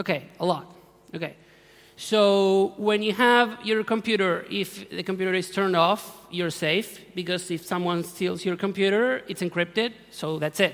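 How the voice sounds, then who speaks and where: A man speaks at a moderate pace with an Argentine accent. His pitch is high and his intonation fairly even. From Argentina. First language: Spanish. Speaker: security researcher. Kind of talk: conference talk. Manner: halting, self-correcting.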